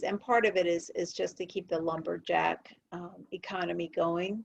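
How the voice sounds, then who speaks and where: An unremarkable speaking voice moves at a moderate pace. Its pitch varies in an ordinary way. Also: woman. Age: 60s. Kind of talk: casual chat.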